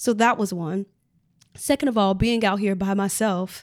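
With an American accent and a plain, everyday voice, a woman talks at a moderate pace and medium pitch, her intonation fairly even, in a very clean recording with a silent background. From US Midwest, Chicago. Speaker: Broadway performer. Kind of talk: casual interview.

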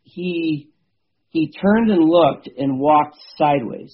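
In an American accent, a normal speaking voice moves at a fairly slow pace with ordinary pitch variation. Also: man. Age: 50s. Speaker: bow hunter and habitat manager. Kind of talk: casual interview.

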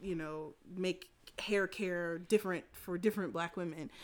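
In a very clean recording with a silent background, a woman with an American accent has an unremarkable speaking voice, speaking at a moderate pace in medium pitch with fairly even intonation. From US South. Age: 30s. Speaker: photographer. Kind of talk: casual chat.

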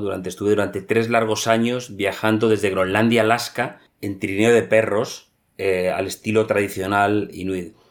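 This man's fairly low voice stays in a flat monotone. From Spain, Madrid. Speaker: polar explorer. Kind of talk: interview. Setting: remote call.

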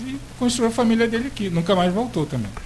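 Lively intonation marks this man's speech, heard with audible room echo and noticeable background noise. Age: young. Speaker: cultural association leader. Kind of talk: radio interview. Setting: radio studio.

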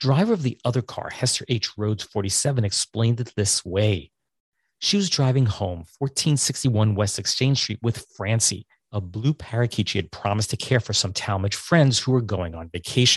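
A man talks at a moderate pace in a fairly low, somewhat breathy voice with ordinary pitch variation, in a dry, close sound with no echo and a quiet background. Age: 50s. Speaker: podcast host. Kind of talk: casual chat. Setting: video call.

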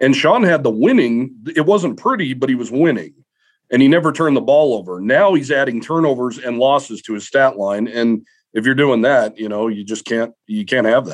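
Lively intonation at a moderate tempo in an unremarkable speaking voice. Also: man, medium pitch for a man. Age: 30s. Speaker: sports beat writer. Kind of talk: casual chat.

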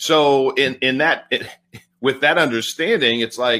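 Speaking in a normal speaking voice, a man keeps a moderate pace and ordinary pitch variation. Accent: American. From California. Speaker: podcast host. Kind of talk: interview conversation.

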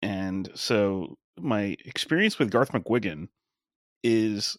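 In dry, close sound with no echo and a very clean recording with a silent background, a man with an American accent and a fairly low pitch speaks in an unremarkable speaking voice with ordinary pitch variation. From Long Island, New York (Suffolk County). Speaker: wrestling podcaster and former sportswriter. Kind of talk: casual chat.

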